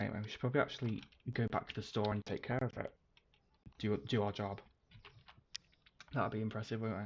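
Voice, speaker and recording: A man with a British accent talks very fast in a fairly low pitch. His intonation is fairly even, and he leaves long, frequent pauses. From UK. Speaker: game streamer. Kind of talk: livestream gameplay commentary. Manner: casual, rambling with fillers.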